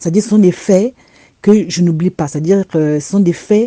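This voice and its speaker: A woman speaks at medium pitch in a dark, mellow tone. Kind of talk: religious testimony. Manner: repetitive, stammering.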